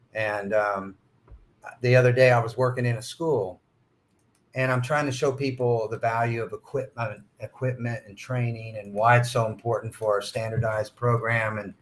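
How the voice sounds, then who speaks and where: At a moderate pace and medium pitch, a man talks in a somewhat breathy, monotone, flat way, with big swings in loudness. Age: 60s. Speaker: school facility manager. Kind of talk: podcast interview. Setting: at a conference.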